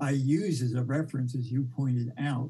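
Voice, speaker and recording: With an American accent, a man speaks at a moderate pace and medium pitch, his dark, mellow tone somewhat breathy and his intonation monotone and flat. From US, New York City. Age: 70s. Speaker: documentary filmmaker. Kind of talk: interview. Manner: halting.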